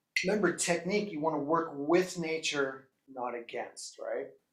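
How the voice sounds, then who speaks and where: Here a man speaks with a Canadian accent at a fairly slow pace. His voice sits fairly high, with ordinary pitch variation. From Canada. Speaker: drum teacher. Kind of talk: online drum lesson, livestream. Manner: animated, enthusiastic; casual with frequent fillers and repeats.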